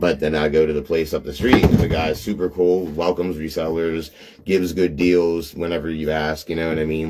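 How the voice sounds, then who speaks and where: A Pittsburgh accent at a very fast pace. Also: man. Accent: Pittsburgh accent, noticeable. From Pittsburgh area, western Pennsylvania. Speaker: reseller, live streamer. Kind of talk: casual live stream chat. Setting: live video stream. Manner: filler-heavy, repetitive.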